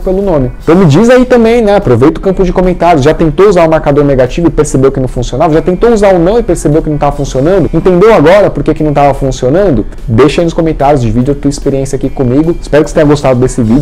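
With faint music in the background, a man speaks at a very fast pace with hardly any pauses. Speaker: dog training channel host. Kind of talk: casual vlog outro to camera. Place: home room. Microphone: lapel.

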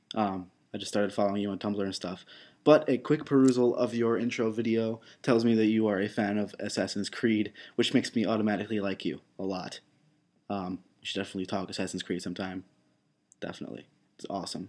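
Fairly low male voice at a very fast pace, with fairly even intonation. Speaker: vlogger. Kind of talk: casual vlog chat, voicemail message. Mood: awkward, playful. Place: home room. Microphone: webcam.

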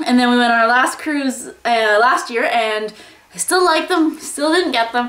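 Room echo is audible as the words arrive at a moderate pace. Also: woman. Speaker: lifestyle vlogger. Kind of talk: casual vlog chat. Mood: cheerful, chatty. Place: home room. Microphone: phone near.

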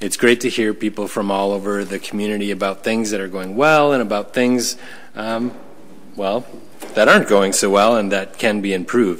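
With a plain, everyday voice, a man talks at a moderate pace, his pitch fairly low and his intonation fairly even. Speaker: school superintendent. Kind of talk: formal report at public meeting. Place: meeting room. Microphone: podium.

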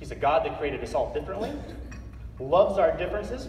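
With an American accent, a man speaks in audible room echo over light background noise. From Northeastern Colorado. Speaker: motivational speaker, Marine veteran. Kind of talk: keynote speech to a live audience. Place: hall. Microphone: pa.

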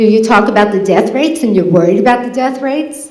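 A woman's fairly high voice with audible room echo and noticeable background noise. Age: 50s. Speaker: public commenter at legislature meeting. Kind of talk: public comment speech. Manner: impassioned.

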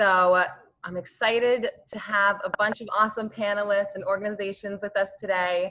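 Keeping a moderate pace, a woman talks with fairly even intonation. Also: quiet background. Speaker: nonprofit program director hosting. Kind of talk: webinar host introduction. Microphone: video call.

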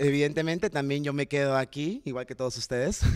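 This man speaks at a fairly quick pace. Behind him, the background stays quiet. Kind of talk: panel talk answering about a play. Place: stage. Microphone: handheld.

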